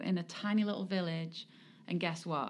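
A woman speaks in an English accent. Her pitch is fairly low. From England. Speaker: sports club executive and charity foundation president. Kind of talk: interview.

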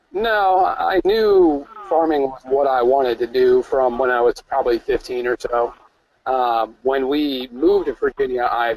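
An unremarkable speaking voice from a man with an American accent, medium pitch, ordinary pitch variation and a moderate pace, in a dry, close sound with no echo. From upstate New York. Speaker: farmer. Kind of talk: webinar interview.

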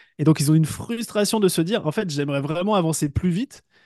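Over a quiet background, a man with a high pitch speaks at a moderate pace. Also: dry, close sound with no echo. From western France, village between Brittany and Paris. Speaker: entrepreneur and business coach. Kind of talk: interview. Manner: halting, many hesitations and repetitions.

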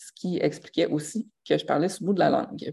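In a Quebec accent, a woman is talking. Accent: Québécois French. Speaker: life coach and podcaster. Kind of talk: casual live monologue. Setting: live stream.

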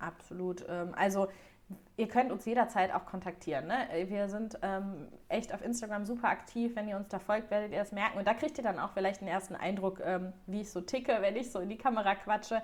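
A woman's normal speaking voice at medium pitch, fairly quick, with ordinary pitch variation. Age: 30s. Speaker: wedding stationery designer. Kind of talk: interview. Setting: podcast.

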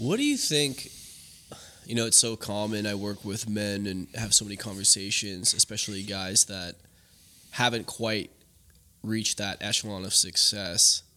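A man's fairly low voice, bright and sharp in tone, with long, frequent pauses, on a very clean recording with a silent background. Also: fairly even intonation, moderate pace. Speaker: podcast host, men's coach. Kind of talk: casual chat.

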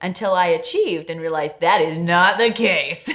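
A woman talks at a moderate pace with an ordinary speaking voice. Her pitch is fairly low. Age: 30s. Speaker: podcast host. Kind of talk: casual chat.

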